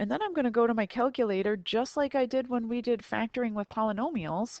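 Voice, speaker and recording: This woman speaks at a very fast pace with a fairly high pitch. Her pitch variation is ordinary. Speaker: math teacher. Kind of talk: recorded tutorial lesson.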